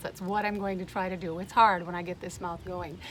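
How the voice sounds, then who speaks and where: There is noticeable background noise behind a woman's speech. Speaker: wellness speaker. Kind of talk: presentation. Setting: outdoors on a boat. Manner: fast.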